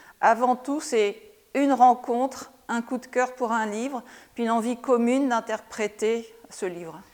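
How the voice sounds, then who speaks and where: The voice has ordinary pitch variation. It moves at a fairly slow pace. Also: woman, high pitch for a woman. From France. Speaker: visual artist. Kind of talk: interview. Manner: hesitant, many filler sounds.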